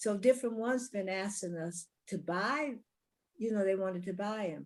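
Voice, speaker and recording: This woman has an unremarkable speaking voice with an American accent, medium pitch, ordinary pitch variation and a moderate pace. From California. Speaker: singer. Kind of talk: interview. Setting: virtual studio.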